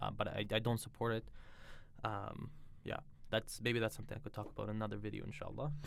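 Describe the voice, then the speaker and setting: A man with a Russian accent, very fast pace, fairly low pitch, vocal fry and fairly even intonation. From Israel. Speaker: religious convert sharing conversion story. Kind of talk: personal testimony. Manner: hesitant, many fillers and restarts.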